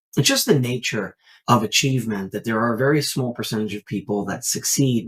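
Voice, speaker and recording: A somewhat breathy man speaks at a moderate pace and medium pitch with ordinary pitch variation. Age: 30s. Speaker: network marketing entrepreneur. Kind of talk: podcast interview. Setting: remote call.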